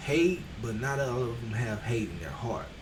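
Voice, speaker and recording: There is audible room echo as a man speaks with an American accent. His pace is fairly slow. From Texas. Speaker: streamer. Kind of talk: motivational livestream talk. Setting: livestream on camera. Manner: soft-spoken.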